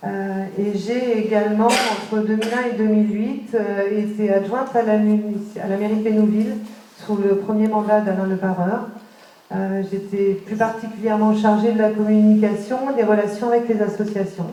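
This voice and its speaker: With a fairly high pitch and monotone, flat intonation, a woman speaks at a moderate pace amid noticeable background noise and audible room echo. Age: 40s. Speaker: local election candidate, secretary. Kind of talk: campaign meeting self-introduction. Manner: halting, many hesitations.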